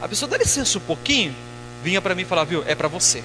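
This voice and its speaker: Over noticeable background noise, a man uses a raised, projected voice with very wide pitch swings. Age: 30s. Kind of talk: sermon.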